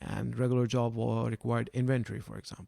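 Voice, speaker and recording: A man with a non-native accent. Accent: foreign. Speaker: science club founder. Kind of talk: podcast interview. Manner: soft-spoken; hesitant with fillers.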